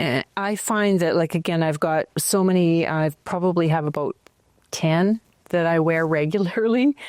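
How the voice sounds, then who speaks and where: A woman with a Canadian accent uses an unremarkable speaking voice, fairly low in pitch, at a moderate pace with ordinary pitch variation and very even loudness, recorded dry and close with no echo. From Canada, northern Alberta. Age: 60s. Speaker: potter. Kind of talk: casual chat.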